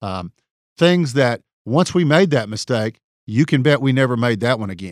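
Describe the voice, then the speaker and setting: A man with an East Texas accent, medium pitch, lively intonation and a moderate pace, in a very clean, dry, close recording with a silent background and no echo. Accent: East Texas Southern US. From East Texas (Tyler). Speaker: personal injury trial lawyer. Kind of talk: solo podcast monologue. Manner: hesitant, frequent fillers.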